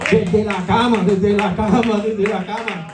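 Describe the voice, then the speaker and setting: A man's moderate-paced speech comes with audible room echo and noticeable background noise. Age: 60s. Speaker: pastor. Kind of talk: sermon. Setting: church conference.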